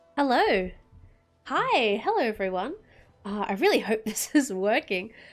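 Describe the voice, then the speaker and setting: Lively intonation marks this woman's fairly high voice in an Australian accent. She speaks at a fairly slow pace. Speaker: VTuber game streamer. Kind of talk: casual gameplay commentary.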